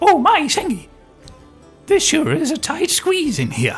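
Someone puts on a high, squeaky character voice at a moderate pace. Faint music plays in the background.

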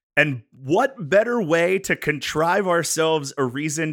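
Speaking with an American accent, a man with a fairly high pitch takes a fairly slow pace. The recording is very clean, with a silent background and a dry, close sound with no echo. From western Pennsylvania. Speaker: podcast host. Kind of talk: casual chat.

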